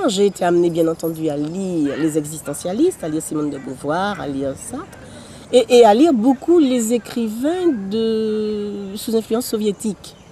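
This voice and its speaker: Against noticeable background noise, a woman with a medium pitch talks fairly slowly, making very wide pitch swings. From Martinique, Fort-de-France. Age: 70s. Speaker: poet and author. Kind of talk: interview. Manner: halting, with many repetitions.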